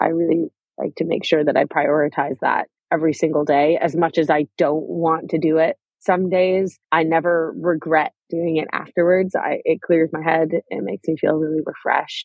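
A normal speaking voice at a moderate pace, fairly even intonation. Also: woman, fairly low pitch for a woman. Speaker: startup founder and CEO. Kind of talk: interview.

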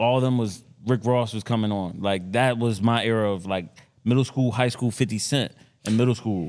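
A man's normal speaking voice at medium pitch, with fairly even intonation, a moderate pace, and a very clean recording over a silent background. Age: 30s. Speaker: podcast co-host, former athlete. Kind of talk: casual banter.

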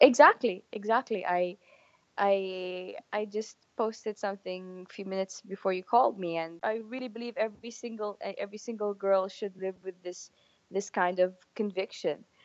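A woman speaks with an Arabic accent and fairly even intonation. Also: medium pitch for a woman, moderate pace. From Saudi Arabia. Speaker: mountaineer and public speaker. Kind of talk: interview. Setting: phone or video call.

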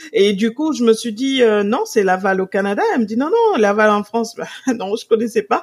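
A woman talks with a normal speaking voice, her fairly high pitch showing ordinary variation as she goes at a moderate pace. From Senegal. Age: 40s. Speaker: purchasing director and Instagram influencer. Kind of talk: interview conversation.

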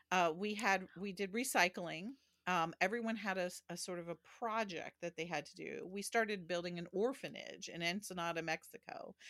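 A woman with an unremarkable speaking voice at medium pitch talks at a moderate pace with ordinary pitch variation and big swings in loudness, in a very clean recording with a silent background and a dry, close sound with no echo. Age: 60s. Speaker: historian and theologian. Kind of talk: interview conversation. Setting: home office.

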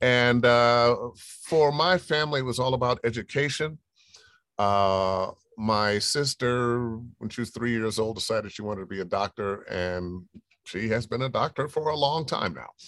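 Medium-pitched man with a normal speaking voice, moderate pace and ordinary pitch variation. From US Midwest, Cleveland, Ohio. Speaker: voice actor. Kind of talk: interview.

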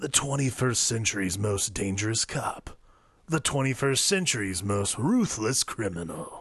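A man does a put-on character voice at a medium pitch, with lively intonation and a fairly slow pace. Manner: dramatic.

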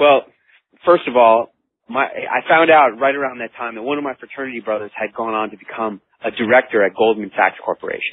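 This man has a plain, everyday voice at a medium pitch. He talks at a fairly quick pace with ordinary pitch variation. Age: 40s. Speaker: author and motivational speaker. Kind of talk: interview.

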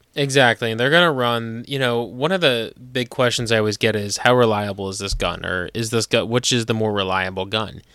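In a normal speaking voice with an American accent, a man talks at medium pitch and a fairly quick pace, with ordinary pitch variation and hardly any pauses. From New Jersey. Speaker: podcast host, gun store worker. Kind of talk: casual chat.

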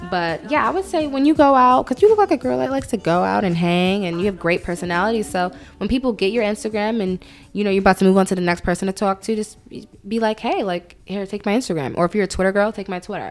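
A woman with an American accent, medium in pitch, her intonation lively and her delivery very fast. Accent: New York with some Southern words. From Brooklyn, New York, some childhood in Atlanta. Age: 20s. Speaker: online magazine founder. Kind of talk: casual chat.

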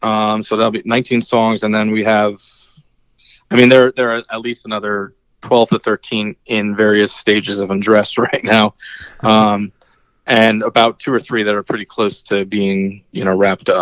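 The speech comes at a moderate pace with an American accent and monotone, flat intonation. The sound is dry and close with no echo, over a quiet background. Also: man, fairly low pitch for a man. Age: 40s. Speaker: musician. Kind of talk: casual chat.

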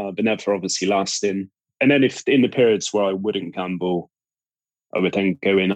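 At a moderate pace, a man with a Cornish accent talks in a fairly low pitch with ordinary pitch variation, in a dry, close sound with no echo. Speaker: podcast guest, recovering gambling addict.

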